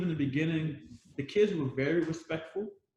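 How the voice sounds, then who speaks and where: This man has a plain, everyday voice with a fairly high pitch and an American accent. His intonation is lively. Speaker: former Peace Corps volunteer teacher. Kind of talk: panel discussion.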